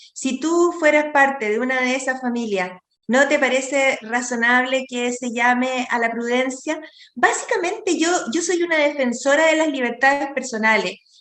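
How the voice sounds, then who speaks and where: Normal pitch movement accompanies delivery at a moderate speed. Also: woman, high pitch for a woman. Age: 60s. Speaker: doctor. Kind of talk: interview. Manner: halting.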